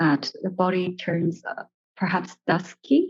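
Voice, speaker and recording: Fairly slow and fairly low, a woman's voice comes through. She speaks with a non-native accent. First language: not English. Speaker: audience member asking a question. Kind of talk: audience question. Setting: gallery space at a talk. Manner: halting, many fillers.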